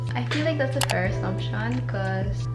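A woman keeps a moderate pace while loud background noise plays. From Manila, Philippines. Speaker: vlogger. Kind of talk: casual talk to camera. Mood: cheerful, relaxed. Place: home room.

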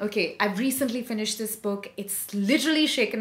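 The voice is somewhat breathy and moves with lively intonation. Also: woman. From India. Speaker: voice over artist. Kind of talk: book review talk to camera. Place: home room. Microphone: phone near.

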